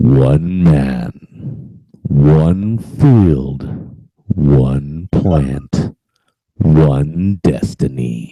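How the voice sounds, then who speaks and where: Using a put-on character voice, a man speaks very slowly at a very deep, low pitch with ordinary pitch variation. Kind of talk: movie guy voice.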